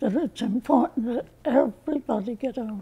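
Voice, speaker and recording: A woman's high-pitched voice with an American accent and ordinary pitch variation. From US. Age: 80s+. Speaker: voter. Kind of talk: interview. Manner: halting.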